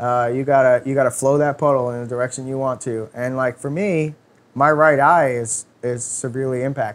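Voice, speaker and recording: Man with a New York accent, medium pitch, fairly even intonation and a fairly quick pace. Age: 30s. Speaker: automotive performance technician. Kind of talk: casual interview. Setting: studio.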